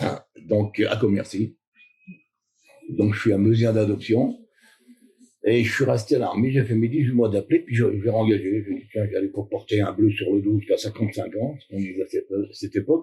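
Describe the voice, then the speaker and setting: A man with a medium-pitched, somewhat breathy voice and a dark, mellow tone speaks with fairly even intonation and long, frequent pauses. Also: moderate pace. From Normandy, Cotentin. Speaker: retired soldier and basketball club founder. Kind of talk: interview. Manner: hesitant, casual.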